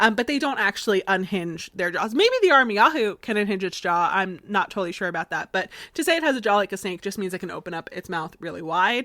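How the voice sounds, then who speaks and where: A woman's bright, sharp, medium-pitched voice with a slight Southern US accent, very fast with hardly any pauses, on a very clean recording with a silent background. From Florida, US. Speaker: podcast host. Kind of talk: casual podcast storytelling. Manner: conversational with many fillers.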